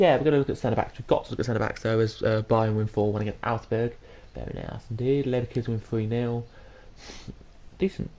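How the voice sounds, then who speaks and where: The speaker has an English accent. The delivery moves at a fairly quick pace. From England. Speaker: gaming streamer. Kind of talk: live gameplay commentary. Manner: halting.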